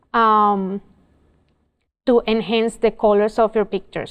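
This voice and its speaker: Her pitch is fairly high. The woman speaks at a fairly slow pace. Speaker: photography instructor. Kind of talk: tutorial. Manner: halting, many fillers.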